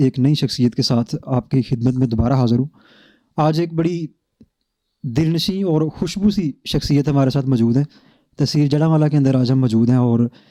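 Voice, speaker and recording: The voice has a dark, mellow tone and ordinary pitch variation. The sound is dry and close, with no echo. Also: man, fairly high pitch for a man, very even loudness. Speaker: interviewer. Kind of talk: interview host introduction and questions.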